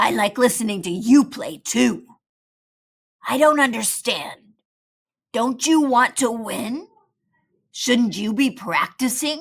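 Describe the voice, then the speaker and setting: A woman puts on a raspy character voice at a high pitch with lively intonation. She goes at a fairly slow pace, leaving long, frequent pauses. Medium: read story.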